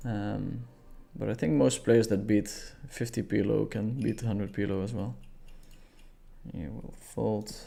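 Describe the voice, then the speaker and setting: Mumbling with vocal fry, a man speaks in a dark, mellow tone at a fairly low pitch, using lively intonation broken by long, frequent pauses. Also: moderate pace. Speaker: poker streamer. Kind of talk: live stream commentary.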